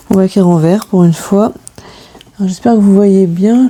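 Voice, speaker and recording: Over noticeable background noise, a woman with a medium pitch speaks at a fairly quick pace. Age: 40s. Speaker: budgeting YouTuber. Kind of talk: casual vlog talk to camera. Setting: home, filming late at night. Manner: hesitant, many fillers (euh).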